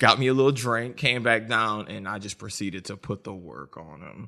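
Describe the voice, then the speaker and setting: A medium-pitched man with an American accent, a bright, sharp tone, vocal fry, ordinary pitch variation and a moderate pace. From US South, New Orleans. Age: 20s. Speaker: podcast co-host, school teacher. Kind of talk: casual chat.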